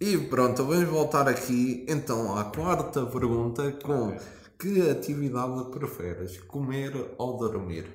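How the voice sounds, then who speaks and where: Amid noticeable background noise and audible room echo, a man with a European Portuguese accent speaks very slowly at a medium pitch, his intonation lively. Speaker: podcast host. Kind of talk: casual chat.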